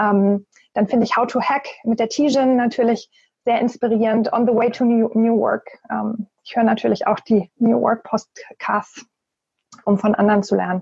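Somewhat breathy and fairly high-pitched, a woman talks at a moderate pace with fairly even intonation in a dry, close sound with no echo. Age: 40s. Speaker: corporate networking and new work expert. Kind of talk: podcast interview.

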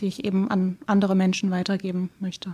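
Here a woman speaks at a medium pitch and a fairly quick pace. Her voice is somewhat breathy and her intonation flat and monotone. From Schleswig-Holstein, Baltic coast, Germany. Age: 20s. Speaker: editor and book blogger. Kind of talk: casual interview. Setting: in-person studio room.

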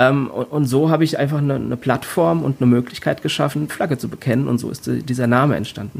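A man talks at a medium pitch with hardly any pauses. His pace is fairly quick and his pitch varies in an ordinary way. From Rhein-Main area, Germany. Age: 40s. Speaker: body art artist. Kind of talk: interview. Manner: halting, many fillers.

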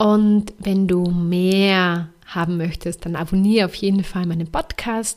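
A woman at a medium pitch speaks very slowly in a flat monotone with hardly any pauses, on a very clean recording with a silent background. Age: 30s. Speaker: podcast host and life coach. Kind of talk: motivational monologue.

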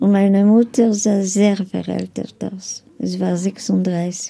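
With a non-native accent, a woman at a medium pitch speaks in a dark, mellow tone and a monotone, flat intonation. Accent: foreign accent in German. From Lviv, Galicia (then Poland, now Ukraine). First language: Polish (speaking German). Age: 80s+. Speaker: Holocaust survivor. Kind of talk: interview testimony. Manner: halting.

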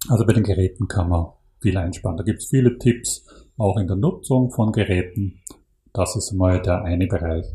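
A man with a fairly low, somewhat breathy voice and a dark, mellow tone speaks at a moderate pace with ordinary pitch variation. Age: 50s. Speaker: climate initiative program manager. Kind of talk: interview. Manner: halting.

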